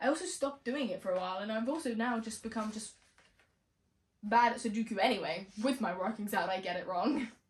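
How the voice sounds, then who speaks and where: A woman talks very fast in a fairly high, somewhat breathy voice. Her tone is animated, with ordinary pitch variation. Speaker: vlogger. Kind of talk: casual room tour vlog. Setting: bedroom, filmed at home. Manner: chatty, animated.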